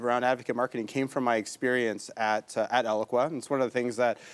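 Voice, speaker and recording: A man talks at medium pitch with a slight Canadian accent. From Canada, Toronto. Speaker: tech company CEO and entrepreneur. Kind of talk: talk show interview.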